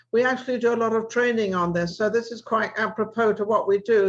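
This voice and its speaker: Against a quiet background, a woman talks at a fairly quick pace in a fairly high voice with monotone, flat intonation. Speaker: talk show host. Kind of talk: talk show hosting.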